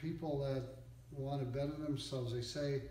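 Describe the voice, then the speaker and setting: A man talks at a moderate pace, his voice carrying audible room echo with noticeable background noise behind it. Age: 60s. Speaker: used car dealer, business owner. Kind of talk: interview, motivational advice.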